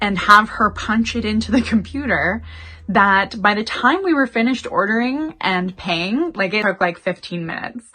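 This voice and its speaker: With music playing in the background, a woman speaks at a fairly high pitch with a Canadian accent. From Canada. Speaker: YouTuber. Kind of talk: casual storytime to camera. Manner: chatty.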